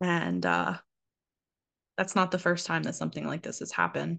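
The speaker moves at a fairly quick pace. The background is quiet. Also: woman. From US Northeast and North Carolina. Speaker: podcast host. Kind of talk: solo monologue, casual reflective talk. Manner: conversational, hesitant with filler words.

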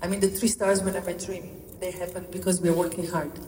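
A medium-pitched woman with a Slovenian accent, amid audible room echo and noticeable background noise. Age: 50s. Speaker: chef. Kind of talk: press conference remarks.

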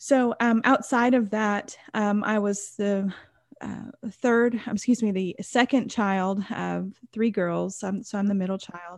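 A woman at medium pitch, using a normal speaking voice with an American accent, talks at a fairly slow pace with fairly even intonation. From Texas. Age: 30s. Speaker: numerology and life coach. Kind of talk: interview about personal trauma.

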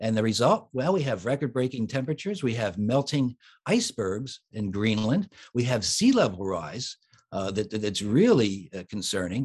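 A man with a plain, everyday voice and an American accent, medium in pitch with lively intonation, at a moderate pace against a quiet background. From US, Philadelphia. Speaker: children's author and musician. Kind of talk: interview.

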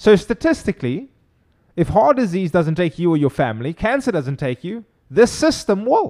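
Recorded very cleanly with a silent background and a dry, close sound with no echo, a man speaks at a moderate pace with a high pitch, very wide pitch swings and a dark, mellow tone. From Cape Town, South Africa. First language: Afrikaans. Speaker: chiropractor. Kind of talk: interview.

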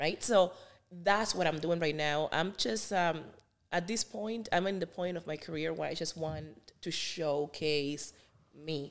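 A woman's fairly low voice with a Spanish accent, ordinary pitch variation and a fairly slow pace. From Cuba. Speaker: singer. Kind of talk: interview.

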